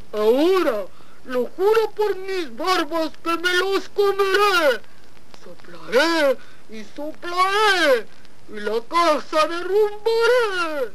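An extremely high-pitched put-on character voice at a very slow pace, over loud background noise. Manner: angry, growling shout.

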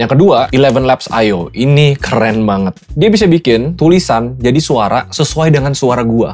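Energetic in tone, a man speaks at medium pitch and a moderate pace with lively intonation, hardly any pauses, and very even loudness. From Indonesia. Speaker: YouTuber and entrepreneur; YouTuber. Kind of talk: YouTube explainer. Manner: casual, energetic. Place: home room. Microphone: lapel.

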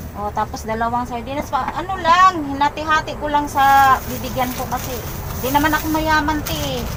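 A woman speaks at a fairly quick pace in a raised, projected voice at a high pitch. Noticeable background noise runs behind her. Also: ordinary pitch variation. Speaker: vlogger doing charity visits. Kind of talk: casual interview. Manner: animated.

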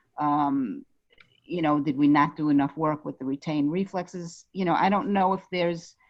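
With a Brooklyn accent, a woman speaks at a very deep, low pitch and moderate pace with ordinary pitch variation. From New York, Brooklyn. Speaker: parent of a special-needs child. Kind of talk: casual chat. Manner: halting.

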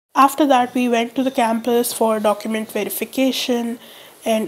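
A woman speaks in a flat monotone over noticeable background noise. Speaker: college student. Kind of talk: casual vlog narration.

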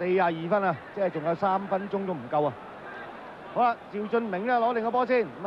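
Amid noticeable background noise, a man talks at a very fast pace with a high pitch for a man and ordinary pitch variation. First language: Cantonese (speaking Vietnamese). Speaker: football commentator. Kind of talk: live commentary. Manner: animated.

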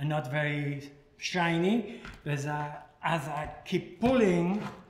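A man with ordinary pitch variation, light background noise and audible room echo. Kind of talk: tutorial. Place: kitchen.

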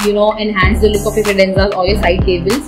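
A woman's voice with clear music in the background. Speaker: home decor vlogger. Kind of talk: casual vlog chat. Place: home room.

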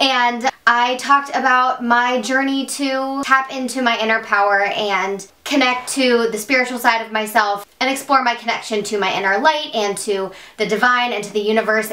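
With hardly any pauses, a woman talks at a moderate pace in a high pitch and fairly even intonation. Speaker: beauty vlogger. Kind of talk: casual vlog chat. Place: home room.

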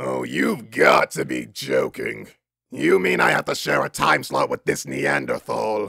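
A man's raspy, cartoonish character voice at a fairly slow pace. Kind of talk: cartoon voice impression. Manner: haughty, condescending, exasperated.

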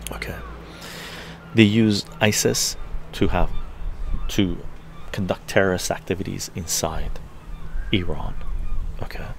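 Whispering at a fairly slow pace, the voice leaves long, frequent pauses. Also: man. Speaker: livestream commentator. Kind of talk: political commentary livestream. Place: home room. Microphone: webcam.

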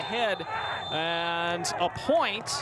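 A man speaks at a high pitch. Noticeable background noise runs under his voice. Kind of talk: live sports commentary. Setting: stadium commentary feed for a match broadcast. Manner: clipped, fluent narration of each touch.

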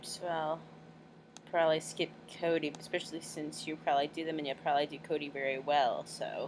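Vocal fry marks this fairly quick delivery, spoken in a monotone, flat intonation. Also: woman, very deep, low pitch for a woman. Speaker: amateur voice actor recording auditions. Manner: casual, self-deprecating.

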